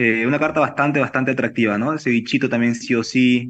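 This man's voice has a medium pitch and ordinary pitch variation. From Peru. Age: 30s. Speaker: chef and restaurant owner. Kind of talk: interview. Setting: video call. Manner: halting. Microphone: video call.

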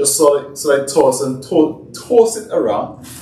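A man is speaking, and room echo can be heard. Light background noise sits underneath. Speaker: fitness cooking vlogger. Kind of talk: tutorial. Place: kitchen. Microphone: camera far.

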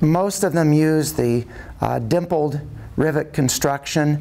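The tone is dark and mellow, with ordinary pitch variation. The pace is fairly slow. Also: man. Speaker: presenter. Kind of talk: presentation to club audience. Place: meeting room.

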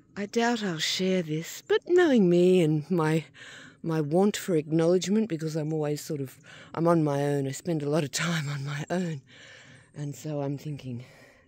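At a moderate pace, the voice sounds dry with no echo against a quiet background. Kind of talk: casual vlog chat. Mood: reflective, relaxed, laughing. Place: open country. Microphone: phone near.

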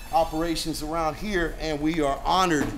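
Against light background noise, a man talks at a moderate pace. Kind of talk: casual gym tour talk. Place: gym. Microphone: phone near.

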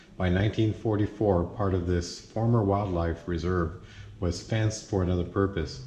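This man has a very deep, low voice with a dark, mellow tone, speaking at a moderate pace with ordinary pitch variation, light background noise and audible room echo. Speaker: RV travel vlogger. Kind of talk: reading display text aloud. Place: hall. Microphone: phone near.

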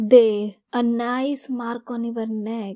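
A woman's menacing, dark, mellow voice at a fairly high pitch, with flat monotone intonation and a very slow pace. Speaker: ASMR roleplay creator.

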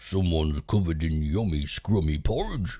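Growling in a put-on character voice, a man speaks at a moderate pace with a very deep, low pitch.

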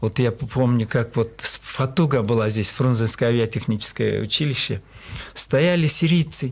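At a moderate pace, a man talks with a Kyrgyz accent. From Kyrgyzstan, Talas region; Kyrgyzstan. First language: Kyrgyz (speaking Russian). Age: 70s. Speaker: qigong master; radio guest. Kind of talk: interview. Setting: studio. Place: studio. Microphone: studio mic.

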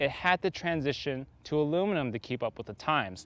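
Recorded dry with no echo and a quiet background, a man speaks. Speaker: bike shop video host. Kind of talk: product review presentation. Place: open country.

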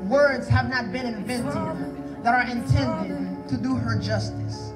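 The speaker talks at a very slow pace over loud background noise. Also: man. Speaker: spoken word poet. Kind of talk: spoken word poetry performance at a wedding.

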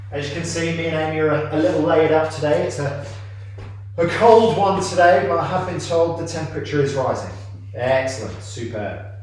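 A man talking at a fairly quick pace with very wide pitch swings, amid strong room echo and light background noise. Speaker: fitness coach. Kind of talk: workout instruction. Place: gym. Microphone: camera far.

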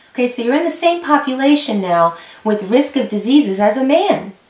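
In a room with audible echo, a woman talks at a fairly slow pace in a high voice with very wide pitch swings. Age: 50s. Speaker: YouTube creator on women's health; health educator vlogger. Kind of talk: informational talk to camera. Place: home room.

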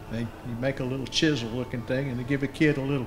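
A man with a Southern US accent speaks in a fairly even intonation while faint music plays in the background. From Mississippi Delta. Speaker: anthropologist, moderator; moderator. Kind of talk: panel discussion. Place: meeting room.

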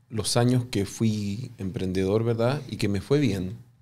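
A man's dark, mellow tone at a fairly slow pace. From Chile. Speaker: business professor and entrepreneur; business professor. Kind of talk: interview. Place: studio. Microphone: studio mic.

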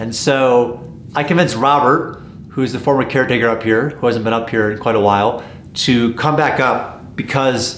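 A man talks in a room with audible echo, and light background noise is present. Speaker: vlogger exploring old mines. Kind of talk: casual vlog chat. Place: shop.

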